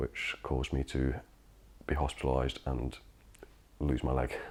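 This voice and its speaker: The pitch is very deep and low. A male speaker is talking. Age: 30s. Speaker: engineering fitter, amputee. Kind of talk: testimony. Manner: hesitant with fillers.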